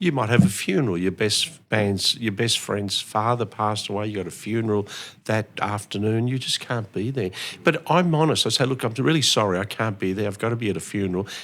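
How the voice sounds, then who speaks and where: A man's fairly low-pitched voice with an Australian accent, fairly quick in pace, with ordinary pitch variation. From Melbourne, Australia (born in Italy, arrived 1964). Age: 60s. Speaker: real estate auctioneer. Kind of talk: interview.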